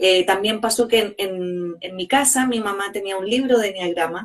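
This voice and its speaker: A woman's medium-pitched voice, fairly even intonation, fairly slow pace. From Chile. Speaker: organizational psychologist and coach. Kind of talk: interview conversation. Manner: hesitant, many fillers.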